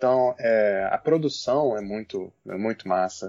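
The sound is dry and close with no echo as a man talks. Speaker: guest, university student. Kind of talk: casual chat.

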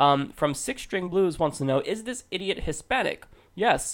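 A man with a high pitch speaks at a moderate pace, his tone animated and his intonation lively. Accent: American. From United States. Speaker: podcast host. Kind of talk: casual commentary. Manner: relatively loud.

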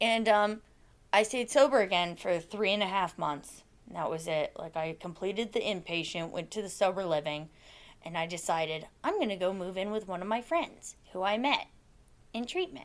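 A woman's medium-pitched voice with an Alaskan accent and ordinary pitch variation, at a moderate pace on a very clean recording with a silent background. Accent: Alaskan American. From Alaska, Soldotna. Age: 20s. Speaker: person in addiction recovery. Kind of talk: testimony. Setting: office.

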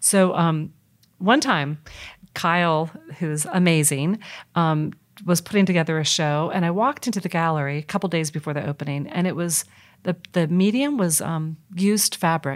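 Very clean with a silent background, the recording captures a woman with an unremarkable speaking voice, fairly low pitch, ordinary pitch variation and a moderate pace. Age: 50s. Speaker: nonprofit executive director. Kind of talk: interview.

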